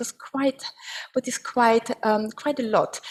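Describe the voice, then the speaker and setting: Her high pitch carries an Austrian accent as this woman speaks at a fairly slow pace with fairly even intonation. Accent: German-speaking Austrian. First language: German. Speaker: agricultural advisory expert. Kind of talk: webinar presentation. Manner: halting, with frequent fillers.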